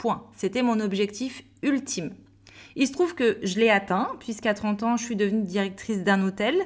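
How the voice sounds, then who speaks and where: A woman with a fairly high, somewhat breathy voice speaks at a moderate pace. Her tone is upbeat. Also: ordinary pitch variation. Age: 30s. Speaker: business coach and podcast host. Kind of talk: solo podcast monologue.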